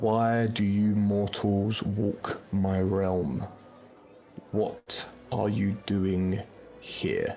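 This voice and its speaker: Booming and fairly low, a man uses a put-on character voice in a monotone, flat intonation with very even loudness. He speaks at a very slow pace with long, frequent pauses, and music plays in the background. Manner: commanding.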